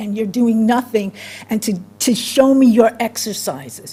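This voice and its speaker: A woman's animated, fairly high-pitched voice at a fairly slow pace, with noticeable background noise. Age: 70s. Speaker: resident giving public comment. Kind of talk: public comment at a town meeting. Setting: town meeting room, microphone. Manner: animated, emphatic; halting with fillers.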